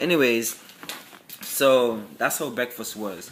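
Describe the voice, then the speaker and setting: A man in a Virgin Islands accent, medium-pitched, very slow, with fairly even intonation. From US Virgin Islands. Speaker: military applicant vlogger. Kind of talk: casual vlog. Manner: halting.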